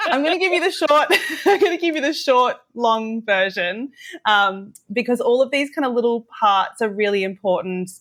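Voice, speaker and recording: A woman's fairly high voice in an Australian accent, very wide pitch swings, and a moderate pace. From Australia, Western Sydney. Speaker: teacher. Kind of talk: interview.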